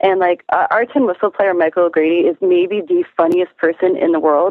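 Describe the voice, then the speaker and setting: Speaking at a fairly quick pace, a woman with an Ontario accent has a fairly low pitch and fairly even intonation. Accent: Canadian (Ontario). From Canada, Toronto. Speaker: musician. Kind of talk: casual chat.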